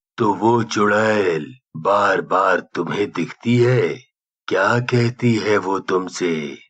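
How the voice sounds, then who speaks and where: In a cartoonish character voice, a man speaks at a very slow pace, his intonation fairly even and his loudness very even. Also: fairly low pitch for a man. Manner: grave, authoritative.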